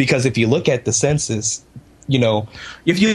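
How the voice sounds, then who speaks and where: Somewhat breathy and animated in tone, a man talks at a moderate pace. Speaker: video game player. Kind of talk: casual chat. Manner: animated, jokey.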